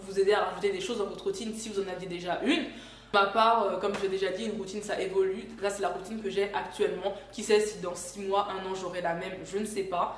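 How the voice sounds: A woman at a fast pace, with audible room echo. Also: medium pitch for a woman, fairly even intonation.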